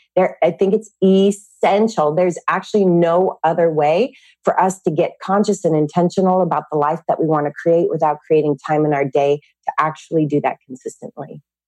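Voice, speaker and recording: A woman at a moderate pace and fairly low pitch, ordinary pitch variation, dark, mellow tone, dry, close sound with no echo. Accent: Californian. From California. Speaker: fitness and mindset teacher. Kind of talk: interview.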